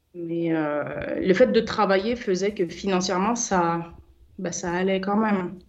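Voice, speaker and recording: A woman's medium-pitched voice at a very slow pace, with ordinary pitch variation and noticeable background noise. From Paris suburbs (Seine-Saint-Denis), born in French Guiana. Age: 30s. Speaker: business founder. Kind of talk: radio interview. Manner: hesitant.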